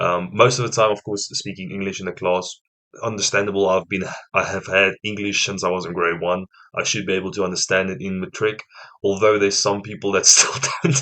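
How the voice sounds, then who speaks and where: A man speaks fairly quickly with a South African accent. His pitch is fairly low and his intonation fairly even. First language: Afrikaans. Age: 20s. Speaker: reaction youtuber. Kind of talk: casual reaction commentary.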